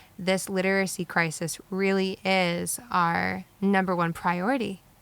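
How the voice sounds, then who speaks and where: A woman at medium pitch, fairly slow, with monotone, flat intonation. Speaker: podcast co-host. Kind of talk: casual podcast conversation.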